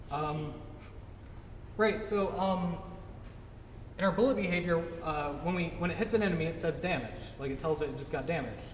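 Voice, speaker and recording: A man speaks at a fairly quick pace with a high pitch and ordinary pitch variation, leaving long, frequent pauses. Noticeable background noise and audible room echo surround him. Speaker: game developer giving a talk. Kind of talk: tutorial talk at a meetup. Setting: meetup with live audience. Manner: fast; casual, many fillers.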